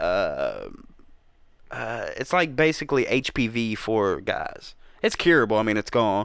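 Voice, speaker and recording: Here a man talks in a Southern US accent. His pace is fairly slow. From US South, Georgia (Atlanta area), born South Carolina. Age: 30s. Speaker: rapper and youtuber. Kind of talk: casual chat. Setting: studio.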